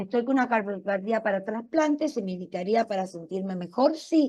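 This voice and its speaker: Against a quiet background, a woman with an Argentine accent speaks at a moderate pace in a dark, mellow tone with lively intonation. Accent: Argentine Spanish (Rioplatense). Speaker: cardiologist giving a public talk. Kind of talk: public health talk, Q&A.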